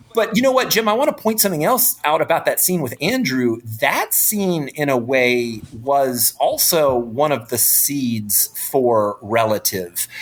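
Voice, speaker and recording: Over noticeable background noise, a man with an American accent speaks fairly slowly at a fairly high pitch, his pitch swinging very widely. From North Carolina, US South. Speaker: film director. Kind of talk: interview.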